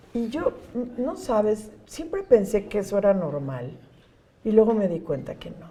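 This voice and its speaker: Over noticeable background noise, a woman at a fairly high pitch speaks at a fairly slow pace, with very wide pitch swings and big swings in loudness. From Mexico City. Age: 60s. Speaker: NGO executive director. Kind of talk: interview. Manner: warm, conversational.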